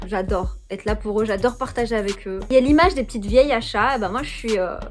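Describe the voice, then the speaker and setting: With music in the background, a woman speaks very fast in a fairly high pitch. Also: ordinary pitch variation. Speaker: YouTuber, lifestyle vlogger. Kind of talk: casual monthly favourites chat. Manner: hesitant, many fillers.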